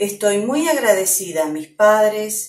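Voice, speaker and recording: With music in the background, a woman speaks at a very slow pace in a medium pitch that makes very wide swings. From Argentina, Slovene community. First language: Slovene (speaking Spanish). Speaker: Slovene language teacher. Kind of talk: personal testimony. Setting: at home.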